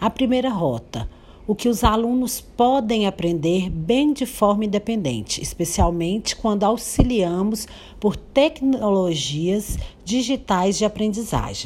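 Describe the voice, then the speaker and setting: Against noticeable background noise, a woman speaks at a fairly slow pace. Her fairly high voice has lively intonation. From Brazil, Minas Gerais (Paracatu). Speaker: educator. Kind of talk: educational presentation, partly read.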